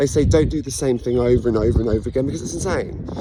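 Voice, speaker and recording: A man speaks with an English accent. Noticeable background noise is present. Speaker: vlogger sharing personal story. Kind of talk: personal monologue. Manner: fast; halting.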